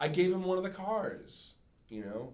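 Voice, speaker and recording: Lively intonation from a man at a moderate pace, with audible room echo. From US, moved around as military family child. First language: German. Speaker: singer-songwriter. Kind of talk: casual Q&A with students. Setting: classroom with audience. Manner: halting, many fillers.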